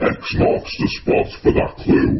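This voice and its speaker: This is a male speaker. He puts on a character voice. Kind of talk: horror film character impression. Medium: voice reel. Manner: slow, calm, menacing.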